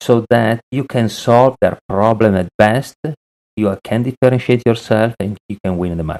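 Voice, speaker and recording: At a moderate pace, a man of medium pitch speaks with an Italian accent and ordinary pitch variation, in a dry, close sound with no echo. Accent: Italian, lasting. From Italy. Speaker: sales consultant. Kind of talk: podcast interview.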